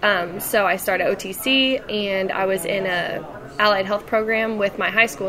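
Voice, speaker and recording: Fairly even intonation comes with an American accent over noticeable background noise. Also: woman. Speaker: Navy veteran and university student. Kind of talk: casual interview. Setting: over lunch.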